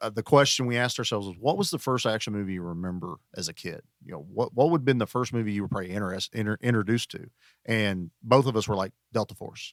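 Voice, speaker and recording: A man speaks at a very fast pace in a fairly low voice with ordinary pitch variation and big swings in loudness. The sound is dry and close with no echo, on a very clean recording with a silent background. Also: hardly any pauses. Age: 40s. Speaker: podcast guest, action movie podcaster. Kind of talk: casual chat.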